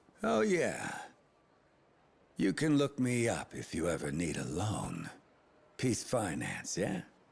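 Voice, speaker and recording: A man puts on a character voice in a playful tone, speaking fairly slowly at a fairly low pitch with very wide pitch swings and long, frequent pauses. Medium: video game. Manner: sardonic, playful.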